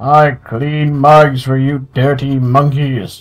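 A man puts on a character voice, speaking at a medium pitch in a monotone, flat intonation at a very slow pace. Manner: mocking.

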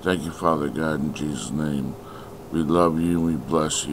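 A man with a very deep, low voice talks at a moderate pace in a flat monotone, with noticeable background noise behind him. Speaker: prayer leader. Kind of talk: fervent prayer. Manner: fervent, declarative; repetitive, rhythmic.

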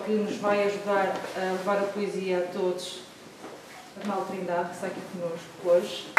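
Loud background noise and audible room echo surround a woman as she speaks. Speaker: event presenter. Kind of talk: welcoming introduction. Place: hall. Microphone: camera far.

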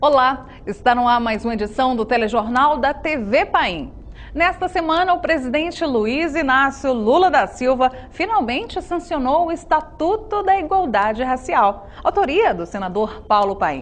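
A woman talks at high pitch with very wide pitch swings. Her pace is fairly slow, with hardly any pauses. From Brazil. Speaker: news presenter. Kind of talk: news reading. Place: studio. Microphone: lapel.

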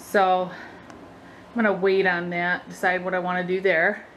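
The speaker is a woman, talking at a moderate speed. There is a light hum of background noise. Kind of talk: casual vlog chat. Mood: relaxed, happy. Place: home room. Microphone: phone near.

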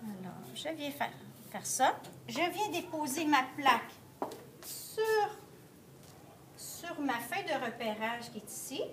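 A woman at a high pitch, with very wide pitch swings and big swings in loudness, at a very slow pace full of long, frequent pauses, over noticeable background noise. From Quebec. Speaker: art teacher. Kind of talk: tutorial. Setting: classroom. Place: classroom. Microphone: phone near.

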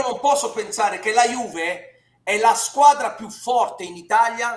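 A man speaks at an extremely high pitch with ordinary pitch variation, and the room echo is audible. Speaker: football pundit. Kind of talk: commentary. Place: home room. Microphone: headset.

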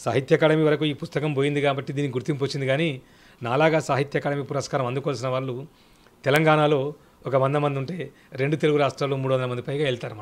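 A man speaks with a fairly high pitch and monotone, flat intonation. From Telangana, Sircilla; Telangana. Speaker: children's author and poet; poet. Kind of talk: interview. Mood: earnest, advisory. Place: home room. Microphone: handheld.

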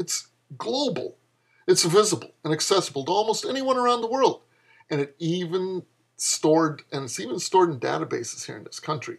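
A man talks at a high pitch and a fairly quick pace against a quiet background. His pitch swings very widely and his loudness swings a lot. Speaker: author reading own fiction. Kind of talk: comedic flash fiction reading with dialogue. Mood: sarcastic, lecturing tone. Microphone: webcam.

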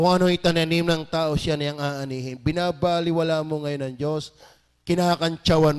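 Over a quiet background, a man talks at a moderate pace. His pitch is fairly high. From Batangas, Philippines. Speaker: pastor. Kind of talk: sermon. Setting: church. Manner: fervent, urgent preaching with rhetorical questions. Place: church. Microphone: handheld.

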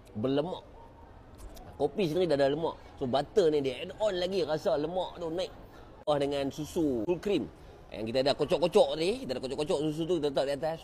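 A man with a dark, mellow, somewhat breathy voice talks at a fairly quick pace with ordinary pitch variation over light background noise. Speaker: food reviewer. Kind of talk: casual food review vlog. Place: cafe. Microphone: lapel.

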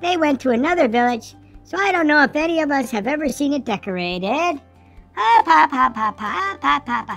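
This cartoonish character voice has vocal fry, a fairly bright tone and lively intonation at a moderate pace, with faint music in the background. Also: woman, high pitch for a woman.

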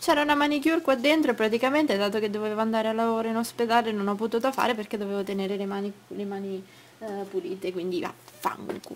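Over noticeable background noise, a woman speaks at a very fast pace with fairly high pitch. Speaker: vlogger. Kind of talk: casual vlog, showing planners to camera. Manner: rambling, hesitant, chatty.

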